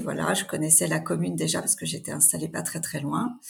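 A woman at a fairly quick pace. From Normandy, France. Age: 40s. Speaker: mayor. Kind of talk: interview. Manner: hesitant, many fillers.

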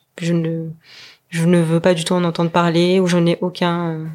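A woman speaks with monotone, flat intonation at a moderate pace. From French Polynesia (Tahiti). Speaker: wealth management advisor. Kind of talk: interview. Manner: halting.

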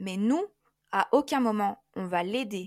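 On a very clean recording with a silent background, a woman with a fairly high pitch speaks at a fairly slow pace with lively intonation. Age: 20s. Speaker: life coach. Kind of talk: interview. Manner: hesitant, many fillers.

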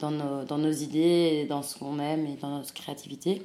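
Speaking at a moderate pace with audible room echo, a woman uses a very deep, low pitch. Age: 20s. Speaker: fashion brand co-founder. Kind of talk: interview.

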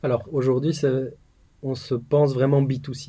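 With a dark, mellow tone, a man speaks somewhat breathily at a moderate pace. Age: 30s. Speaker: tech startup founder. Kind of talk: interview. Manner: halting, frequent repetitions.

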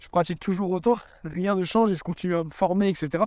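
On a very clean recording with a silent background, a man speaks at a high pitch. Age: 20s. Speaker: yoga coach. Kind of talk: casual monologue. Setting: outdoors, walking dogs. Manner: hesitant, many fillers.

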